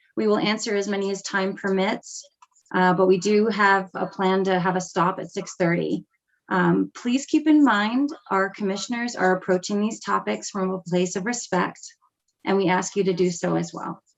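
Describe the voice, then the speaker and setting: A woman talks in a normal speaking voice at a moderate pace. Her medium pitch shows ordinary variation. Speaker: meeting moderator. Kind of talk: virtual town hall moderation. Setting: video call.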